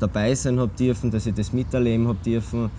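This man's voice sits at a medium pitch in a monotone, flat intonation. He talks at a moderate pace. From Austria, Graz. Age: 20s. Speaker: football goalkeeper. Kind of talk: casual interview.

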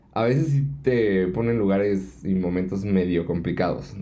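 This man has a very deep, low pitch, a dark, mellow tone and a Mexican accent. He speaks at a fairly slow pace with lively intonation, and audible room echo surrounds him. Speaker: podcast co-host. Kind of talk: casual chat; outro.

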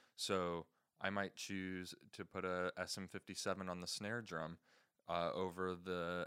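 This man's voice is very deep and low yet bright and sharp in tone, delivered at a moderate pace with monotone, flat intonation. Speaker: podcast host teaching audio engineering. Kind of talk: tutorial.

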